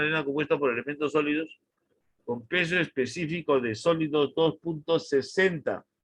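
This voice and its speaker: A man speaks in a normal speaking voice at a moderate pace. His pitch is fairly high, with ordinary pitch variation. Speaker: university engineering lecturer. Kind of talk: online lecture.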